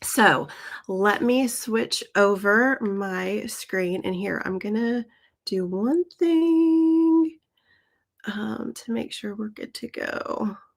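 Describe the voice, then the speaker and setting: A woman with a fairly high voice speaks very slowly, her pitch swinging very widely. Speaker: hand lettering teacher. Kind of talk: live-stream tutorial. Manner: casual, with filler ums.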